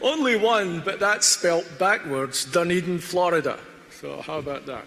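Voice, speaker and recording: Over noticeable background noise, a man with an American accent and a high pitch talks at a moderate pace, showing ordinary pitch variation and big swings in loudness. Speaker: graduation guest speaker. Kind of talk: ceremonial speech. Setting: graduation ceremony hall with audience.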